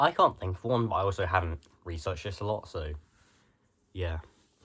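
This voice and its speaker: A very deep, low male voice, somewhat breathy, with ordinary pitch variation and a fairly quick pace, on a very clean recording with a silent background. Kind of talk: casual talk to camera. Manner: rambling, hesitant.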